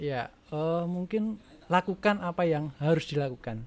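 With a normal speaking voice, a man talks at a fairly high pitch and with ordinary pitch variation. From Yogyakarta region, Indonesia; Indonesia. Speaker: primary school teacher and rabbit farmer; primary school teacher, rabbit farmer. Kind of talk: casual interview chat. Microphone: studio mic.

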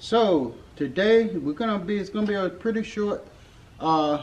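A man is talking, and his pitch varies in an ordinary way. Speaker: bike owner vlogger. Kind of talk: casual vlog chat. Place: street. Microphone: camera far.

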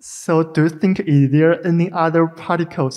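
A man speaks at a fairly slow pace with little pitch movement. His tone is slightly mellow.

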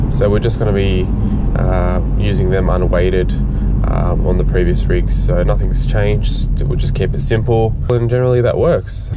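A man at a moderate pace, dry sound with no echo, loud background noise. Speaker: fishing vlogger driving. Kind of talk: casual vlog chat. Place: car. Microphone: phone near.

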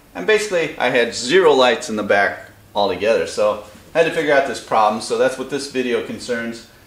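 A man talking at a fairly quick pace, very wide pitch swings, audible room echo. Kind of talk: tutorial. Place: garage. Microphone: camera far.

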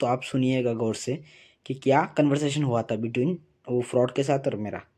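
A man with a dark, mellow tone and fairly even intonation, at a moderate pace over a quiet background. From Assam, India. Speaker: vlogger warning about a scam. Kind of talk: casual vlog talk to camera. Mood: earnest warning.

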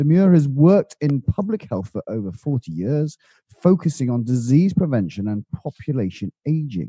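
A somewhat breathy man's voice, fairly high in pitch with a dark, mellow tone and very wide pitch swings, at a moderate pace in a dry, close sound with no echo. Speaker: podcast host and financial planner. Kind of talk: interview.

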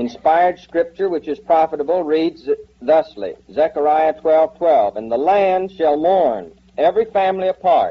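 Ordinary pitch variation marks a man's speech, delivered at a moderate pace. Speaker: Bible teacher. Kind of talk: Bible teaching lecture. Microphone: old recording.

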